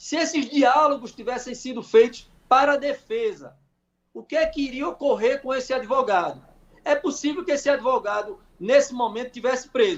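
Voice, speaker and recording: At a moderate pace, a man talks in an extremely high pitch with ordinary pitch variation. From Brazil, Pernambuco interior. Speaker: lawyer. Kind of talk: radio interview.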